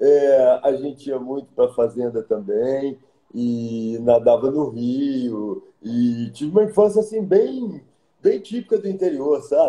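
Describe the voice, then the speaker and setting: This man talks fairly slowly with a dark, mellow tone and a fairly high pitch. His pitch swings very widely, and room echo can be heard. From Minas Gerais, Brazil (Pedro Leopoldo); Minas Gerais, Brazil. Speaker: architect; interviewee. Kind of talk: interview. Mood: warm, reflective. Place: home room. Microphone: video call.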